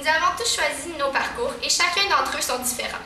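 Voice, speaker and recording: A raised, projected voice with lively intonation comes at a moderate pace, accompanied by audible room echo and noticeable background noise. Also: woman. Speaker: valedictorian student. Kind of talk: graduation speech. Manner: formal.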